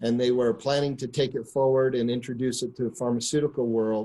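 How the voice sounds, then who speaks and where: Flat and monotone, a man's medium-pitched voice with a dark, mellow tone moves at a moderate pace in an American accent. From US Northeast, near New York City. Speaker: business executive telling company origin story. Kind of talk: storytelling on a conference call. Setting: conference call. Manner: filler-heavy, repeats words.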